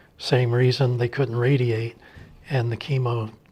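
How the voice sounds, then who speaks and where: A man speaks at a moderate pace and medium pitch, somewhat breathy. His intonation stays monotone and flat. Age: 60s. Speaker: lung transplant and cancer survivor. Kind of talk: testimony.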